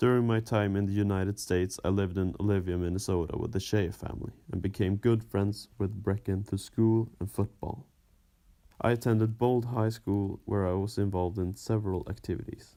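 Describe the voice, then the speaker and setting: Speaking at a fairly quick pace with a Swedish accent, a man has a fairly low pitch and a dark, mellow tone. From Sweden, Östersund. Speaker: former exchange student. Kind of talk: scripted narration.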